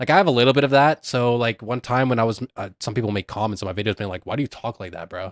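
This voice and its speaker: On a very clean recording with a silent background, a man talks at a very fast pace with ordinary pitch variation, the sound dry and close with no echo. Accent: slight Canadian. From Canada. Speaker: streamer. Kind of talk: casual livestream commentary. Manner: casual, lots of filler words; rising and falling intonation.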